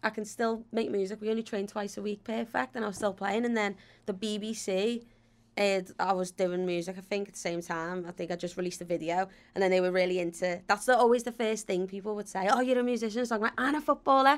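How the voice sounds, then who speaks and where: A woman with a Liverpool accent at a very fast pace, medium pitch and ordinary pitch variation, on a very clean recording with a silent background. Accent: Scouse. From Liverpool, England. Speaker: footballer and TV presenter. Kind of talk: casual chat. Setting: studio. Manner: animated.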